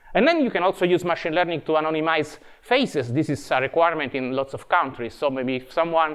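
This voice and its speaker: Fairly high-pitched and fairly quick, a man talks with an Italian accent and ordinary pitch variation. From Italy. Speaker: tech evangelist. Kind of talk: conference talk. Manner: halting.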